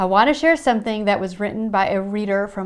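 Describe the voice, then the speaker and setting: A woman speaks with lively intonation on a very clean recording against a silent background. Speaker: Bible study podcast host. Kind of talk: Bible reading devotional talk.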